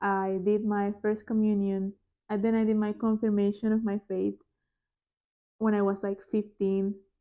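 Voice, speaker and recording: Against a quiet background, a woman speaks at a moderate pace in a dark, mellow tone, medium in pitch and monotone with flat intonation. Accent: Spanish. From Panama. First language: Spanish. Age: 20s. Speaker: podcast host. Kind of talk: casual chat; testimony. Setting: home living room.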